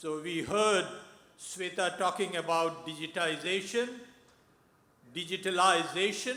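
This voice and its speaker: Over noticeable background noise, a man speaks loudly in a high pitch at a fairly slow pace, with fairly even intonation and long, frequent pauses. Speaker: audience member, technology entrepreneur. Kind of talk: audience question.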